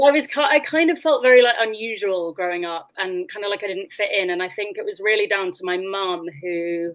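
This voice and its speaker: A woman talks at a moderate pace with a slight West Country accent. Her intonation is lively. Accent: slight West Country twang. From West Country, England (Oxfordshire/Gloucestershire border). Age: 30s. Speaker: actress. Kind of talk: interview guest, personal storytelling.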